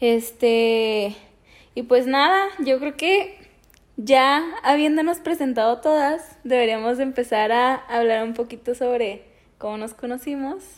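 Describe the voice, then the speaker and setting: A woman talks at a very slow pace in a high voice. Her pitch varies by an ordinary amount. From Mexico, Chihuahua. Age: 20s. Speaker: podcast co-host, preschool teacher. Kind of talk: casual chat.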